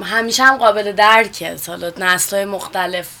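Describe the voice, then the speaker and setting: A woman is speaking. Noticeable background noise is present. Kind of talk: radio interview. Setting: studio.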